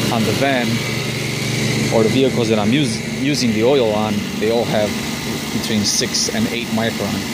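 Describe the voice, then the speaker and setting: Loud background noise surrounds a man speaking at a moderate pace, with a dry sound and no echo. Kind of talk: tutorial. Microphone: phone near.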